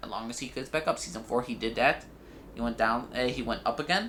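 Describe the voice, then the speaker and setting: Very fast and animated, a man speaks in a bright, sharp tone at a medium pitch. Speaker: YouTube TV reviewer. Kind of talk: video review rant.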